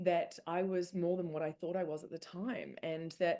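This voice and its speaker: A woman speaks at a moderate pace in an unremarkable speaking voice, fairly low in pitch and fairly even in intonation. The background is quiet. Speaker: spiritual speaker and author. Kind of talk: presentation. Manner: casual, filler-heavy.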